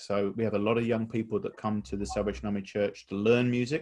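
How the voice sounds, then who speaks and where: Speaking with a southern English accent, a man uses a fairly low pitch with ordinary variation. The background is quiet. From England, near London. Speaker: church music director. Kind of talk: interview. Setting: video call.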